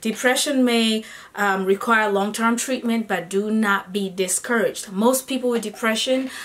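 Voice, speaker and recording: A woman's fairly high voice holds fairly even intonation at a moderate pace, with noticeable background noise behind her. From Kenya, Nairobi. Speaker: singer-songwriter and vlogger. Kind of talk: vlog monologue. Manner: conversational, with fillers.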